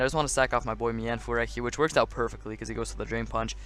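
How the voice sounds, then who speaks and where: A man is speaking. He has a non-native accent. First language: not English. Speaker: competitive gaming YouTuber. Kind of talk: gameplay commentary. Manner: stuttering at times; casual, filler-heavy.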